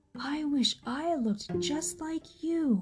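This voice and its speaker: A woman puts on a character voice and speaks at a very slow pace. Music plays in the background. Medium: read story. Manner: earnest.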